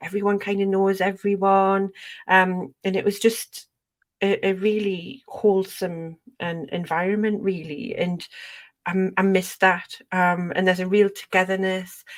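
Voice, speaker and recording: A woman speaks in a Geordie accent at a fairly slow pace. Her intonation is monotone and flat. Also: medium pitch for a woman. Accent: gentle Geordie. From northern England, Northumberland near Newcastle. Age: 40s. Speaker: podcast host. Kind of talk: casual chat.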